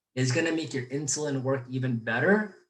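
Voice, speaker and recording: A somewhat breathy man at a fairly quick pace with a medium pitch and ordinary pitch variation. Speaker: physical therapist. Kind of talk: webinar lecture. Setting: live webinar. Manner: fast.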